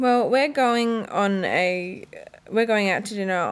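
Lively intonation marks this fairly slow speech. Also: woman. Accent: Australian. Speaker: podcast co-host. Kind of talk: casual chat. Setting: home room with window open.

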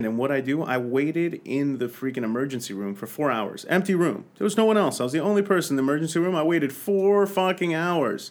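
The delivery is animated and very fast. Its intonation is lively. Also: man, fairly high pitch for a man, hardly any pauses. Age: 30s. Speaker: fitness podcast host. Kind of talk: casual chat.

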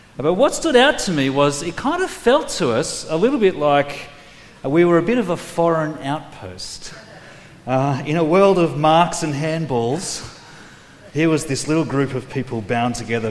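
A man with an Australian accent at a fairly high pitch, very wide pitch swings and a fairly slow pace, with audible room echo and noticeable background noise. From Australia, New South Wales. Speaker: preacher. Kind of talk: sermon.

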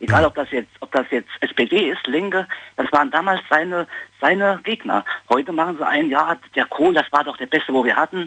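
A man talks at a moderate pace in a plain, everyday voice. His fairly high pitch moves with lively intonation. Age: 40s. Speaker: caller. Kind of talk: phone-in opinion. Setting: phone call.

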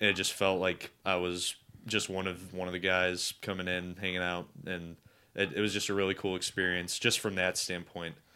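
A man's very deep, low voice with a bright, sharp tone, an American accent and flat, monotone intonation at a moderate pace, on a very clean recording with a silent background. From Cleveland, Ohio. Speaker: guest. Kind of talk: casual chat.

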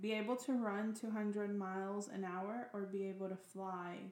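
Monotone and flat, a woman speaks at a medium pitch and a moderate pace over noticeable background noise. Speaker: question reader. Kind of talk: casual chat.

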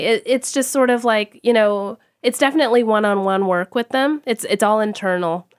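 A woman with an American accent and an ordinary speaking voice talks at a moderate pace, with a fairly high pitch and ordinary pitch variation. The very clean recording has a silent background and a dry, close sound with no echo. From Texas. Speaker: fashion studies professor. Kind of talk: interview conversation.

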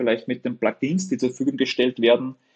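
A man speaks with a medium pitch. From Upper Austria. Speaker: web agency owner. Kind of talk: interview conversation.

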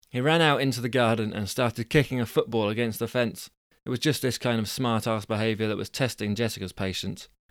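A quiet background behind plain reading aloud

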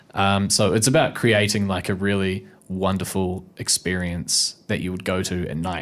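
A man with a New Zealand accent speaks at a fairly low pitch and a moderate pace. The recording is very clean, with a silent background. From New Zealand, Nelson. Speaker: actor. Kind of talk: casual chat. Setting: studio.

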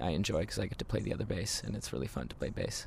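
Very deep and low, this man's voice carries vocal fry. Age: 30s. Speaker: musician, band singer and keyboardist. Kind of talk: casual interview. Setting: outdoors in a garden.

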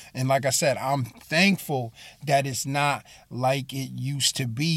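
An ordinary speaking voice with an American accent at a fairly slow pace, on a very clean recording with a silent background. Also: man. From Bridgeport, Connecticut. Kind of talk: sermon-style monologue. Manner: casual, with many fillers and repeats.

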